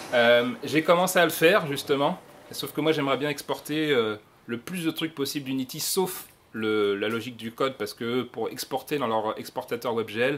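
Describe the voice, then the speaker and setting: A man talks at a moderate pace and medium pitch, with ordinary pitch variation. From France. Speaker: software developer speaker. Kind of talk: conference talk. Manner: animated, casual.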